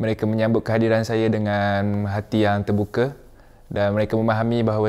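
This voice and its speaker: The man speaks at a fairly low pitch in a flat, monotone way. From Malaysia. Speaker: exchange student. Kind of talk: testimony. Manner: halting.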